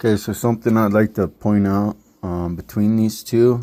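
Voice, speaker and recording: A man's dark, mellow voice in monotone, flat intonation. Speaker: RC hobbyist vlogger. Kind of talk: casual build tutorial. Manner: halting, stuttering.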